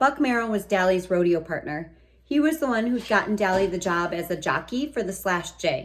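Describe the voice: The passage is simply read aloud. Its intonation rises and falls in a lively way.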